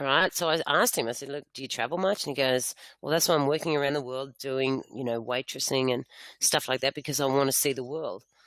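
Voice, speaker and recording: Very fast pace in an Australian accent. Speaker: network marketing presenter. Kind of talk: sales pitch. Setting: online webinar.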